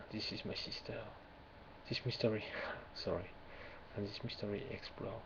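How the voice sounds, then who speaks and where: A man with a French accent at a moderate pace, noticeable background noise. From France. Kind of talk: ASMR poetry reading. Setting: webcam recording, low quality.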